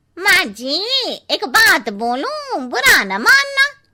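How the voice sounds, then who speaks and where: A cartoonish character voice at a very slow pace, full of very wide pitch swings. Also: woman, extremely high pitch for a woman. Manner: cheeky, gossipy.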